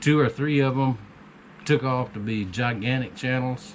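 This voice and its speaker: A man with an American accent speaks with fairly even intonation. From US South. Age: 60s. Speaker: homesteading YouTuber and knifemaker. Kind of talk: casual vlog monologue.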